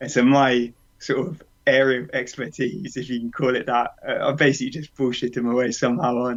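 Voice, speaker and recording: A man's medium-pitched voice with a British accent, at a moderate pace. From UK. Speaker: runner. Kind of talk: interview.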